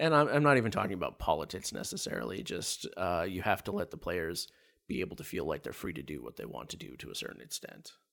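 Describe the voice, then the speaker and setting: The man's delivery is very fast. His loudness rises and drops in big swings. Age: 40s. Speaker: tabletop game master. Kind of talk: casual interview. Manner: halting, many filler words.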